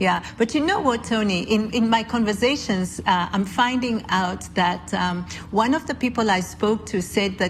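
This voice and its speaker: A woman speaks with a Kenyan accent. Her pitch variation is ordinary. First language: Kikuyu. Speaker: podcast host. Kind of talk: casual interview conversation.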